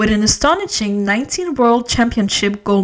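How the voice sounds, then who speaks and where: A woman with a normal speaking voice, fairly high in pitch, with lively intonation. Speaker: podcast host. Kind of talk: biography narration.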